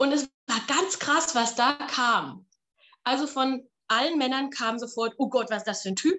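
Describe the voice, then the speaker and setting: Fairly slow, high-pitched female speech with ordinary pitch variation. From Palatinate, Germany. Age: 30s. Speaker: opera singer and voice teacher. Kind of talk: casual interview.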